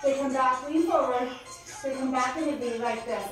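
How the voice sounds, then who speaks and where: A woman at a high pitch and a moderate pace, with strong room echo and clear music in the background. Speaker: fitness trainer. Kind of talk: workout coaching cues. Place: gym. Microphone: camera far.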